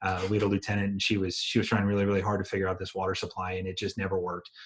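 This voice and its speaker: A man's fairly low, somewhat breathy voice on a very clean recording with a silent background. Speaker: EMT instructor and firefighter. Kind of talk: lecture. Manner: fast.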